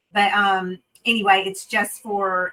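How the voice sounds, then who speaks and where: A woman speaks at a medium pitch in a Southern US accent. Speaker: renal dietitian. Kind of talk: webinar talk. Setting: video webinar.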